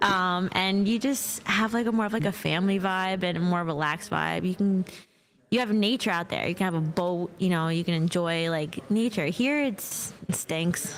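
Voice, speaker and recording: With a New York accent, a woman talks at a moderate pace and medium pitch, with ordinary pitch variation and very even loudness. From Brooklyn, New York. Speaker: construction products sales rep. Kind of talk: casual interview.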